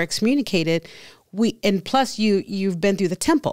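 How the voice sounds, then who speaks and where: In a quiet background, a woman with an American accent speaks at a fairly quick pace with ordinary pitch variation. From Texas, San Antonio. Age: 50s. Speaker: interview guest sharing life story. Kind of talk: testimony. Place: studio. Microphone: studio mic.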